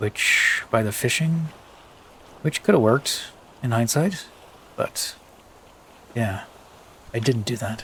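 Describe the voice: Speaking at a slow pace with long, frequent pauses, a man uses a medium pitch with ordinary variation and a fairly bright tone roughened by a husky edge.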